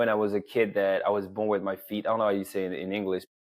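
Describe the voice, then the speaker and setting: Talking at a very fast pace, a man with a French accent speaks in a fairly low pitch. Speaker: men's coach. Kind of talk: interview.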